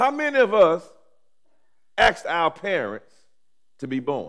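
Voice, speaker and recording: With an American accent, a man speaks at a high pitch in a warm tone. His pitch swings very widely, and the background is quiet. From Alabama, US South. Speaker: pastor. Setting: seminary chapel with audience. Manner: rhythmic, repetitive preaching cadence with rising emphasis; warm, humorous asides with laughter. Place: church. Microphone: headset.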